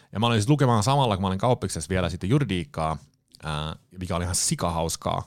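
A man with a fairly low pitch talks at a very fast pace, his voice making very wide pitch swings. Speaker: public speaker, former banker. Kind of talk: casual interview. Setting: studio.

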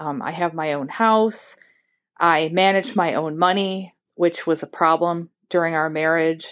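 Here is a normal speaking voice from a woman with an American accent. Her pitch is fairly low, her pace fairly slow, and the background quiet. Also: fairly even intonation. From Ohio. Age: 50s. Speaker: listener leaving a voicemail. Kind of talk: voicemail message.

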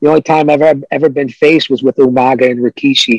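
A man talks very fast at a medium pitch. The sound is dry and close, with no echo. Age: 50s. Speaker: retired pro wrestler. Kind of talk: casual interview chat. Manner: animated.

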